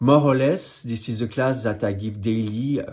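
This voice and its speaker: Somewhat breathy and in a French accent, the voice keeps a moderate pace with ordinary pitch variation. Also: man. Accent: French accent, noticeable. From France. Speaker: ballet teacher. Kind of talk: instructional tutorial. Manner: counting rhythmically.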